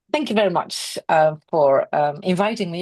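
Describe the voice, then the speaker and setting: The speaker is a woman with a Dutch accent. She keeps a moderate pace and ordinary pitch variation. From Netherlands. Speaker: equine veterinary specialist. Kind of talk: webinar presentation.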